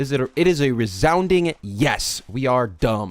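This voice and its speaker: Loud and animated, a man with a fairly high pitch makes very wide pitch swings on a very clean recording with a silent background. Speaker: live streamer. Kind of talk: casual live stream rant. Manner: loud, animated. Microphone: very close to the mic.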